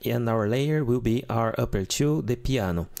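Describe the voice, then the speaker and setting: The speaker is a man with a Portuguese accent. He has a medium pitch and a moderate pace. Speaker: keyboard tutor. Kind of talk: tutorial. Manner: casual.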